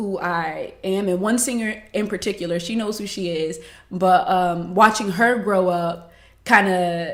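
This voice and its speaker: A woman with an American accent talks at a fairly slow pace and medium pitch, with ordinary pitch variation and audible room echo. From Miami, Florida. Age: 20s. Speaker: singer and beauty retail worker. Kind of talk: podcast interview.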